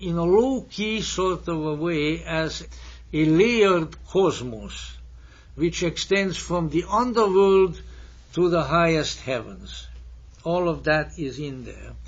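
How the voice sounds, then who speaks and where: A man speaks at a very slow pace, with audible room echo around his voice. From Hungary. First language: Hungarian and German. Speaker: lecturer. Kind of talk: lecture. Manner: formal.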